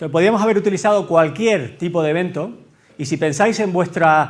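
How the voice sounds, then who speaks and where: The pace is fairly quick. Room echo is audible. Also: man. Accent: Canarian. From Canary Islands. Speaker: tech company executive, conference speaker. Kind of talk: conference talk. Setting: stage with audience. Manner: engaging, addresses audience directly.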